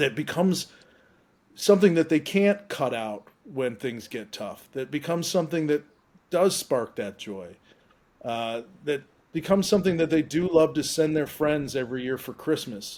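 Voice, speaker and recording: With lively intonation and a moderate pace, a man speaks in a normal speaking voice at a fairly high pitch. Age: 50s. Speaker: investor. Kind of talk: casual chat.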